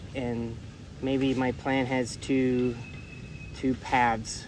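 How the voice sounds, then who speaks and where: A man with an American accent, flat monotone intonation, long and frequent pauses, and audible room echo. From US South, Louisville, Kentucky. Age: 40s. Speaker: English teacher. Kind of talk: interview. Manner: hesitant, with fillers.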